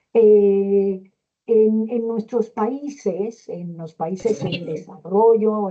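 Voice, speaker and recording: A woman speaks with fairly even intonation. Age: 60s. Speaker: gerontology lecturer, pedagogue. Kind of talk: lecture.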